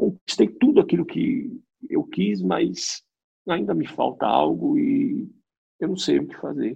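A man at a fairly slow pace. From Brazil, interior of São Paulo state. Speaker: seminarian training for priesthood. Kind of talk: casual interview. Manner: halting, frequent repetitions.

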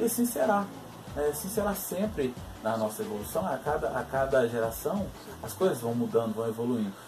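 Noticeable background noise sits under the voice. The pitch swings very widely. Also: man, medium pitch for a man, fairly quick pace. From Minas Gerais interior, Brazil. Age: 20s. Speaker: philosopher vlogger. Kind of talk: video monologue. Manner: halting, many fillers.

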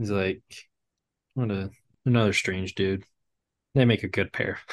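In a dry, close sound with no echo, a man speaks at a fairly slow pace and fairly low pitch, with fairly even intonation and long, frequent pauses. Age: 20s. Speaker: podcast co-host. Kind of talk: casual chat. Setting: video call.

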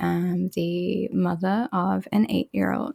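The sound is dry and close with no echo as a woman speaks in an Australian accent. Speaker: podcast co-host and game developer. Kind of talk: casual chat.

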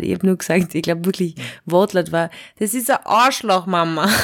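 Fairly quick and fairly low-pitched, a woman talks with ordinary pitch variation amid noticeable background noise. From Austria. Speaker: satirist and slam poet. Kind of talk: casual chat. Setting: remote call.

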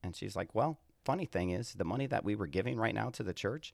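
On a very clean recording with a silent background, a man talks at a fairly quick pace with fairly low pitch, very wide pitch swings and vocal fry. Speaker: pastor. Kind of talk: casual chat.

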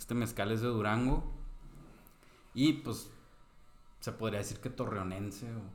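Speaking with a Mexican accent, a man uses medium pitch and fairly even intonation at a fairly slow pace. Long, frequent pauses break his speech, and room echo is audible. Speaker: podcast co-host. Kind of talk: casual chat.

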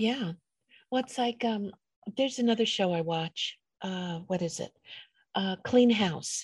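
A woman's somewhat breathy voice with an American accent, medium in pitch with ordinary pitch variation, at a fairly slow pace with long, frequent pauses. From New York, the Bronx. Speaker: podcast host. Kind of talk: casual interview. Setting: video call.

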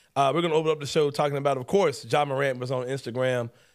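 A man talks very fast at a fairly high pitch, with an American accent. The recording is very clean, with a silent background. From Memphis, Tennessee (US South). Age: 40s. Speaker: sports podcast host. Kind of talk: casual chat. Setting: studio. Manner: animated.

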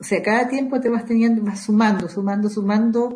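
Her intonation stays fairly even. The woman's voice is fairly high and somewhat breathy. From southern Chile, Panguipulli, Valdivia. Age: 60s. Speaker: Mapuche women's network coordinator. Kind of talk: interview. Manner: halting, frequent repetitions.

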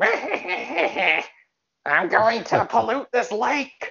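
In a put-on character voice, the speaker cackles at a fairly high pitch and a fairly slow pace. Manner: cackling, gleeful.

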